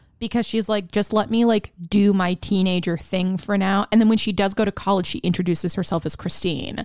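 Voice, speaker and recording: On a very clean recording with a silent background, a woman talks at a fairly quick pace with hardly any pauses and fairly even intonation. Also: medium pitch for a woman. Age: 20s. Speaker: podcast co-host. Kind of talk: casual chat about films; reading film summaries.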